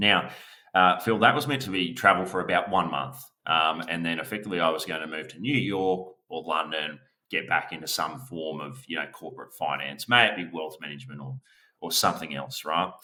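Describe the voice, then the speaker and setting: Here a man speaks at a very deep, low pitch. He moves at a fairly quick pace with ordinary pitch variation. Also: big swings in loudness. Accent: Australian. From Australia. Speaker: business valuation expert. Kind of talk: podcast interview.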